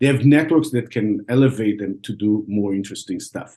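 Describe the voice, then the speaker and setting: A man speaks with an Israeli accent. His tone is dark and mellow. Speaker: venture capital investor. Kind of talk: podcast interview. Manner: halting, many repeated words.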